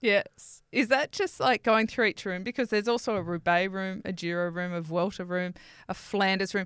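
Recorded very cleanly against a silent background, a woman speaks at a moderate pace and medium pitch with ordinary pitch variation in a plain, everyday voice. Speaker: podcast co-host. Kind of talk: casual banter podcast chat. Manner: laughs often, playful.

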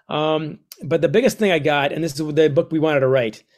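Here a man with an American accent speaks at a fairly high pitch. The recording is very clean over a silent background. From United States. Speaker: author. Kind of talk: podcast interview.

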